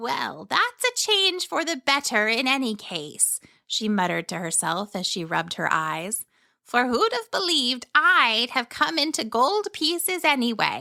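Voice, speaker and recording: A woman puts on a character voice, pitched high. She keeps a moderate pace while her pitch swings very widely. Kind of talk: bedtime story. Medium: read story. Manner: cheerful, chatty, wondering.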